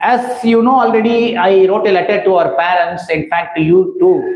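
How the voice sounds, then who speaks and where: A man with a high pitch speaks at a moderate pace, his loudness very even and his pitch varying in an ordinary way. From India, Tamil Nadu. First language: Tamil. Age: 60s. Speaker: school principal. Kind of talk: reading aloud. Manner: formal.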